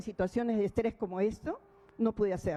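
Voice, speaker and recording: In a normal speaking voice, a woman speaks at a fairly quick pace with a fairly high pitch. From Peru. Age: 60s. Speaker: defendant. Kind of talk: court statement. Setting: courtroom hearing.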